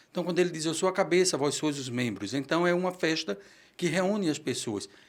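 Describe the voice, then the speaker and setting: A man speaks at a fairly quick pace with lively intonation and a high pitch. The recording is very clean, with a silent background. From Brazil, Pernambuco. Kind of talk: interview.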